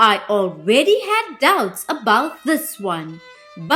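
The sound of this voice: An unforced reading voice carries the whole recording.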